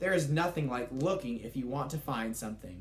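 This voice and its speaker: In a put-on character voice, a man speaks quite quickly at a medium pitch over clear background noise. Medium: read story.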